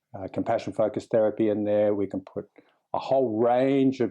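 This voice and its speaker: Against a quiet background, a man's dark, mellow tone sits at a medium pitch with monotone, flat intonation. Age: 60s. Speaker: clinical psychologist and meditation teacher. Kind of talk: interview conversation. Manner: relaxed, calm.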